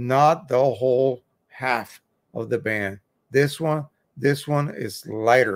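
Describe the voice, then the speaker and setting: The background stays quiet while this man talks. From Puerto Rico. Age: 70s. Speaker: YouTube photo printing expert; photo printing live streamer. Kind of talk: live stream tutorial and chat. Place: home room.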